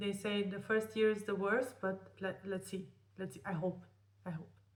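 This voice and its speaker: The room echo is audible. Within it, a woman talks. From Romania. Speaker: vlogger. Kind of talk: personal vlog storytelling. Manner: halting.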